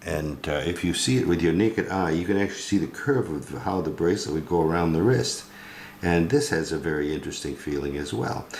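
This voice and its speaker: The pitch moves in an ordinary way at a fairly quick pace. Room echo can be heard. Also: man, very deep, low pitch for a man. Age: 80s+. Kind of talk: tutorial. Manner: hesitant, many fillers.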